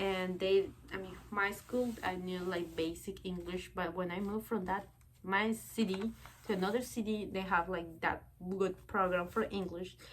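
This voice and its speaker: In a Spanish accent, a woman speaks at medium pitch and a moderate pace, her intonation monotone and flat. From Bolivia. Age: 20s. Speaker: vlogger. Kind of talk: casual personal vlog talk. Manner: halting, many fillers.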